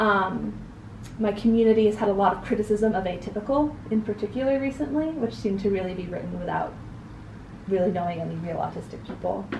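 A woman with an American accent talks at a very fast pace and medium pitch, with ordinary pitch variation. Noticeable background noise runs underneath. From US Northeast, New Hampshire. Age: young. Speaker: interview guest. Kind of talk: interview. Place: home room.

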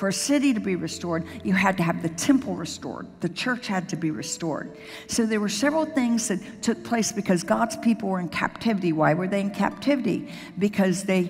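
Faint music sits in the background. Over it, a woman talks fairly quickly. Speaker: senior pastor. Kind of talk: sermon. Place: church. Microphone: headset.

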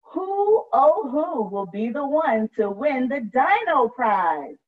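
Her voice is high with big pitch swings. The woman speaks at a slow pace.

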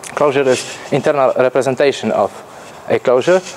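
A man with a Polish accent and a nervous tone, over noticeable background noise. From Poland. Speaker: programmer. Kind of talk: conference talk. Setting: stage with audience. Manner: nervous, halting.

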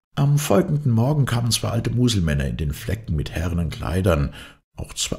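At a moderate pace, a man talks with vocal fry and very wide pitch swings. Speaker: audiobook narrator. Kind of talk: dramatic narration of a fairy tale, reading aloud with character voices.

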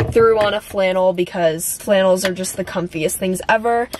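A woman at a moderate pace with fairly even intonation, dry sound with no echo and light background noise. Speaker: content creator. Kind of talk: casual vlog chat. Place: car.

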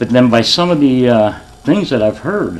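With lively intonation and a medium pitch, a man talks at a moderate pace while noticeable background noise carries on behind him. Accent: American. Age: 60s. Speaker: retired police officer speaking at public meeting. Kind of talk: public comment at council meeting. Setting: council chambers with audience.

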